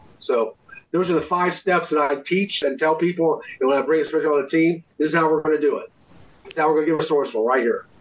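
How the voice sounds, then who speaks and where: Fairly high in pitch, a man talks at a very fast pace with fairly even intonation. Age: 60s. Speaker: inspirational speaker and author. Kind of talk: interview.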